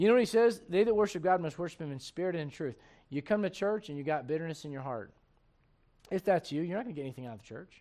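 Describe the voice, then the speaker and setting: Over a quiet background, a man with a high pitch and a dark, mellow tone talks at a very fast pace. His intonation is lively, with big swings in loudness. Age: 40s. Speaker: pastor. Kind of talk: sermon. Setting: church.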